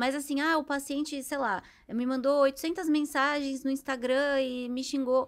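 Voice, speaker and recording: Monotone, flat intonation at a fairly slow pace, on a very clean recording with a silent background. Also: woman, high pitch for a woman. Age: 30s. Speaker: psychologist. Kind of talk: interview.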